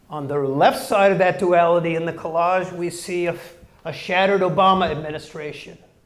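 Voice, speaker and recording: Recorded with audible room echo and noticeable background noise, a man with an American accent speaks in a high pitch. His intonation stays fairly even. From Chicago, Hyde Park. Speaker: graphic designer and educator. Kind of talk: guest lecture.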